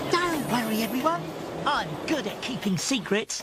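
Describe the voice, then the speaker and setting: A cartoonish character voice, female-sounding and fairly high in pitch, moves at a moderate pace. Clear background noise can be heard. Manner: bubbly, excitable.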